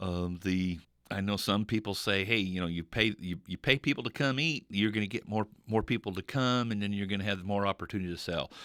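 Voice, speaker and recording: On a very clean recording with a silent background and a dry, close sound with no echo, a man speaks at a fairly quick pace with a fairly low pitch and ordinary pitch variation. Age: 60s. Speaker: radio host and insurance agent. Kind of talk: casual radio talk. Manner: halting, many fillers and repeats.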